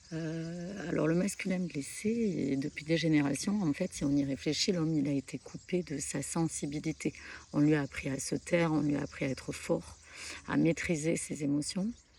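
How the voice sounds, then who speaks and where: A woman's very deep, low voice with a dark, mellow tone, at a moderate pace with ordinary pitch variation. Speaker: spiritual content creator. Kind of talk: spiritual talk to camera. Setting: outdoors at a pilgrimage site. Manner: soft-spoken; hesitant, many fillers.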